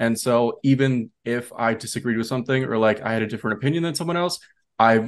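At a fairly quick pace, a man talks in a plain, everyday voice of medium pitch with ordinary pitch variation. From Minnesota. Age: 20s. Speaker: interview guest. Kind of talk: interview.

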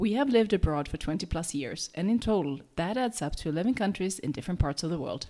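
A woman talks at a fast pace. Her voice is fairly low, with a dark, mellow tone. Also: lively intonation.

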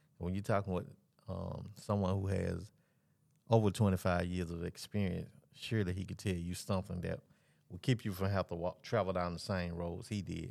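At a moderate pace, a man speaks with a very deep, low pitch and a dark, mellow tone, his pitch varying in an ordinary way in a very clean recording with a silent background. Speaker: podcast host. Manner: animated, informal.

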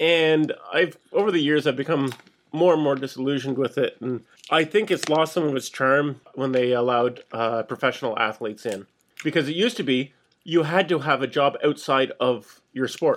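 An ordinary speaking voice from a man, moderate in pace, fairly high in pitch, with ordinary pitch variation. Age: middle-aged. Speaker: podcast co-host. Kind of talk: casual chat.

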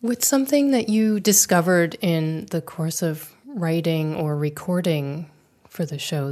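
In a plain, everyday voice, a woman speaks at a fairly slow pace with fairly low pitch and lively intonation. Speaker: podcast host and interviewer. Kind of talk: interview.

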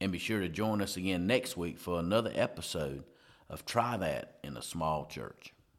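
Vocal fry and lively intonation in a man's very deep, low voice, at a moderate pace. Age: 40s. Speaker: pastor and podcast host. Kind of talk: casual chat.

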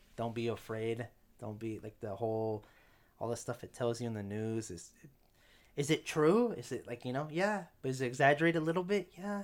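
A man speaks in an ordinary speaking voice at medium pitch. His intonation is lively and his pace fairly quick. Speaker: podcast host. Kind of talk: casual chat.

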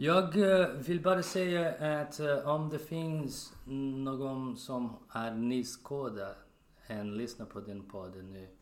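A man with a Portuguese accent speaks very slowly at a medium pitch, his intonation lively and his loudness swinging widely. Room echo is audible. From Brazil. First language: Portuguese (speaking Swedish). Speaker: spinal cord injury survivor, podcast member. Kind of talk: casual chat. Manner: halting, with fillers.

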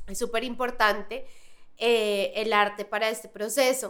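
This is a woman speaking. Her pace is fairly slow. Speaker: podcast host. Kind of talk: casual interview. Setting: studio.

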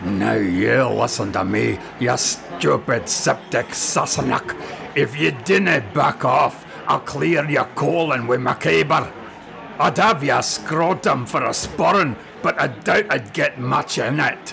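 The speaker uses a put-on character voice at a fairly slow pace. Background noise is clearly present. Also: man, medium pitch for a man, very even loudness. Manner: threatening, vengeful.

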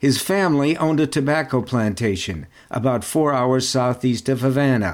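A man with a normal speaking voice talks at a moderate pace in a medium pitch, with ordinary pitch variation and very even loudness. The recording is very clean, with a silent background. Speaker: podcast host/narrator. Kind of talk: scripted narration.

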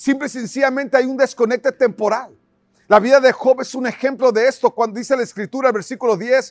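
With a dry, close sound and no echo, this very clean recording has a silent background. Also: man. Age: 50s. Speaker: pastor. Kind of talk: sermon.

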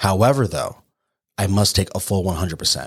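On a very clean recording with a silent background, a man with a fairly low, somewhat breathy voice speaks at a fairly quick pace. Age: 30s. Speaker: podcast host, military veteran. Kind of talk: solo motivational monologue. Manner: animated.

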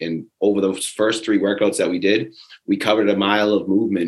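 A man with an ordinary speaking voice talks at a fairly low pitch. His pace is fairly quick. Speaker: fitness bootcamp coach. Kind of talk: casual recap chat.

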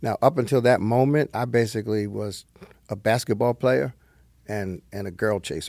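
In a New Jersey accent, a man speaks at a moderate pace. His pitch varies in an ordinary way. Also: medium pitch for a man. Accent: New Jersey American English. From northern New Jersey. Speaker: retired pastor, nonprofit chairman. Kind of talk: interview conversation.

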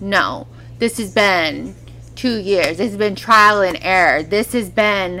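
Speaking very slowly with an American accent, a woman has a medium pitch and vocal fry. Her intonation stays fairly even. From California. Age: 30s. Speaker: former adult film performer, wellness entrepreneur. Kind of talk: casual chat.

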